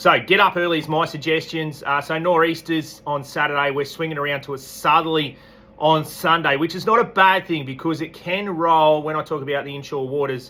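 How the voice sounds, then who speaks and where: Over noticeable background noise, a man with an Australian accent speaks at a fairly high pitch and a fairly quick pace, with hardly any pauses. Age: 40s. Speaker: fishing tackle shop owner. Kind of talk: weekly fishing report. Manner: casual, relaxed.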